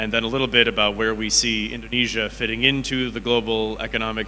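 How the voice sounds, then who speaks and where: With music in the background and audible room echo, a man speaks at a fairly quick pace. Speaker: economist at international financial institution. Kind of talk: conference presentation. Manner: fast.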